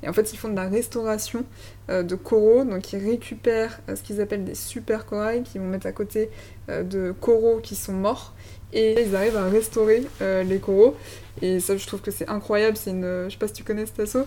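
A woman with a dark, mellow tone talks at medium pitch and a moderate pace, her intonation fairly even while her loudness swings widely. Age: 30s. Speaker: podcast host. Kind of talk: interview.

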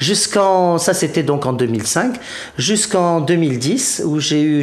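Over noticeable background noise and audible room echo, a man talks very slowly with lively intonation. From Provence, southern France. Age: 50s. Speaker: Bhutan travel specialist. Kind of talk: interview. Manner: halting.

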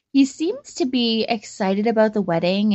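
A woman with a Canadian accent uses a normal speaking voice at a moderate pace with ordinary pitch variation. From Canada, Calgary. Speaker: caller, bride-to-be. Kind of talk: voicemail message. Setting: phone voicemail.

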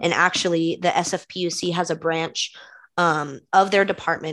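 Over a quiet background, a woman with a fairly low pitch talks at a moderate pace in a normal speaking voice. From California, East Bay (Concord). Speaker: graduate student intern. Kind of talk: casual chat. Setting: video call.

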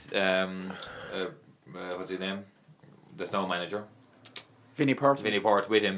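A man with a strong Limerick accent, fairly even intonation and long, frequent pauses, over noticeable background noise. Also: fairly low pitch for a man. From Ireland, Limerick. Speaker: former footballer and youth coach. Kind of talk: casual chat. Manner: fast.

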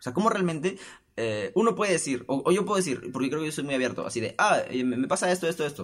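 The man's tone is animated, his pitch swinging very widely. He talks at a fairly quick pace. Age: 20s. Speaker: podcast host. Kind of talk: casual solo monologue.

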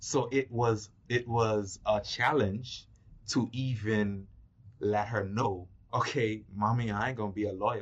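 Speaking at a fairly slow pace, a man with a fairly low, somewhat breathy voice keeps his intonation fairly even. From Turks and Caicos Islands. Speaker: film producer. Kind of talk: casual interview.

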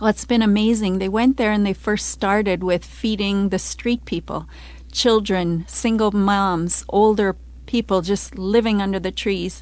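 A woman speaks at a fairly slow pace in a very clean recording with a silent background. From Canada. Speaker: missionary. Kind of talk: testimony.

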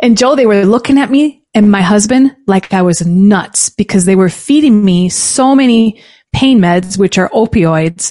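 A woman with a medium pitch speaks in a dark, mellow tone. Her pace is fairly slow, with hardly any pauses. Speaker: business founder and advocate. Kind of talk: casual interview.

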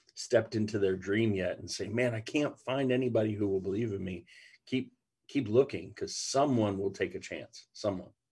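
Against a quiet background, a man with an American accent speaks at a moderate pace in a fairly low, somewhat breathy voice. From Ohio. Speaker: pastor. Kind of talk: casual chat.

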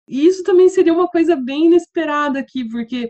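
A woman speaks with a Curitiba accent and lively intonation. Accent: Curitiba accent, still noticeable. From southern Brazil, Curitiba. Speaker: English teacher and teacher trainer. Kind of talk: casual interview.

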